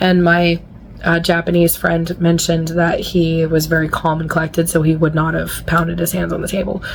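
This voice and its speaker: Amid noticeable background noise, a woman talks fairly quickly at a fairly low pitch in a monotone, flat intonation. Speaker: author. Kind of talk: casual vlog talk to camera.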